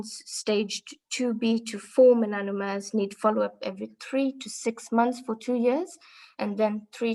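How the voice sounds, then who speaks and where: A woman talks at a fairly slow pace with a fairly high pitch. Her tone is dark and mellow, and her pitch variation is ordinary. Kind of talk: formal medical lecture.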